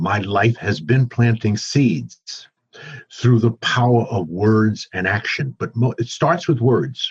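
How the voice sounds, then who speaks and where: A man with an American accent speaks at a very slow pace in a medium pitch, somewhat breathy, with ordinary pitch variation and a dry, close sound with no echo. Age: 70s. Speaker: author and entrepreneur. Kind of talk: interview conversation.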